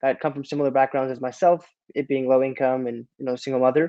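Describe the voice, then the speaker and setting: The intonation stays monotone and flat. An American accent comes through. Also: man. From US South, Durham, North Carolina. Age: 20s. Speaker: real estate investor. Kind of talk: podcast interview. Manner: casual, with fillers and restarts.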